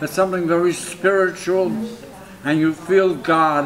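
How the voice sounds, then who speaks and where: There's light background noise as a man talks at a high pitch. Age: 80s+. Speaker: impressionist painter. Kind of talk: interview answer. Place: home room.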